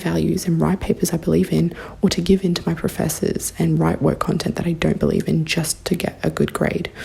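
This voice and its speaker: A woman with an Australian accent speaks over noticeable background noise. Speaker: university student, listener. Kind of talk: recorded listener question.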